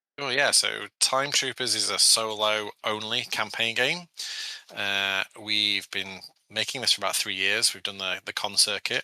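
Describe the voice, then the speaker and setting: In a British accent, a man speaks with a bright, sharp tone and a fairly low pitch. His pace is moderate, with ordinary pitch variation and a dry, close sound with no echo. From England, Sheffield area. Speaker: board game designer. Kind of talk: podcast interview.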